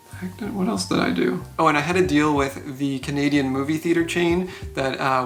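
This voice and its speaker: Audible room echo and noticeable background noise surround a man's fairly high voice. He talks at a fairly quick pace with lively intonation. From Canada, Ontario (Barrie). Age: 20s. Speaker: filmmaker and visual effects editor. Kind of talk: personal narration about career. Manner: casual, conversational with filler words.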